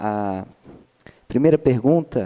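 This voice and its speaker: A dark, mellow tone marks the medium-pitched voice of this man. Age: 20s. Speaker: audience member asking a question. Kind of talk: audience question at a talk. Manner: halting, many fillers.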